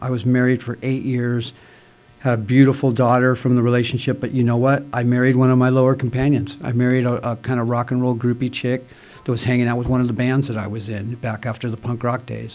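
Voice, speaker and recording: In an American accent, a man talks at a very fast pace with monotone, flat intonation. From Santa Monica, California. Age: 60s. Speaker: speaker at AA meeting. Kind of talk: testimony. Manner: casual, filler-heavy.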